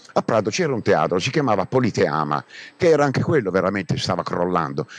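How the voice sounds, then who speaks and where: A man talks very fast at a fairly low pitch, swinging very widely in pitch. The sound is dry and close, with no echo. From Brindisi, Italy. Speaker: actor. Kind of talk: recorded theatrical monologue.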